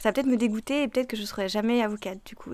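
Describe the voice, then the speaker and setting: A woman's fairly high voice at a very fast pace. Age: 20s. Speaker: law student. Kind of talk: interview testimony.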